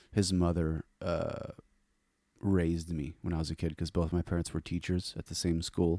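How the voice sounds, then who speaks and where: On a very clean recording with a silent background, a man speaks in a very deep, low voice with a dark, mellow tone. The sound is dry and close with no echo, and his flat monotone moves at a moderate pace. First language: French. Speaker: metal guitarist. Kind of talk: casual interview chat.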